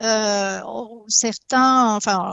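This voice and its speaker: A woman speaks with an Italian accent. Her pitch is fairly high. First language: Italian (speaking French). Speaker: hydrogeologist. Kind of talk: talk show debate. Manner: halting, many hesitations and repetitions.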